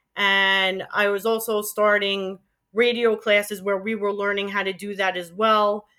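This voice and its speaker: With a New York accent, a woman of medium pitch speaks in a bright, sharp tone with monotone, flat intonation. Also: fairly slow pace. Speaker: former college radio DJ. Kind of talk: interview.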